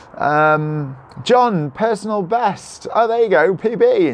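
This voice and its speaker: Speaking with lively intonation, a man talks in a Cardiff accent. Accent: Welsh (Cardiff). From South Wales. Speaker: vlogger. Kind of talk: live stream chat reading comments. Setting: live video holding a selfie stick. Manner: animated.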